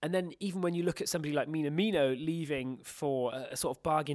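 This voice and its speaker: Over a very clean recording with a silent background, a man talks in a British accent. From Britain. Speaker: football journalist. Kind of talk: casual chat.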